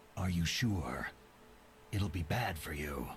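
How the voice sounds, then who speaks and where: A man puts on a character voice with a very deep, low pitch. He goes at a fairly slow pace over clear background noise. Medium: game stream. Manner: terse, gruff.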